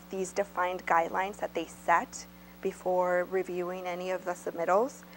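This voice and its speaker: Music in the background accompanies a woman as she speaks. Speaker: presenter. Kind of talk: informational presentation. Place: meeting room.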